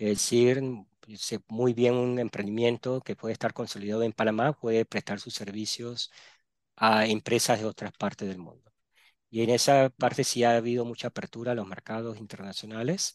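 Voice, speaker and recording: Here is a plain, everyday voice at a moderate pace with fairly even intonation. The sound is dry and close with no echo, over a quiet background. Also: man, medium pitch for a man. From Panama (born Barranquilla, Colombia). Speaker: entrepreneurship specialist. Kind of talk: interview.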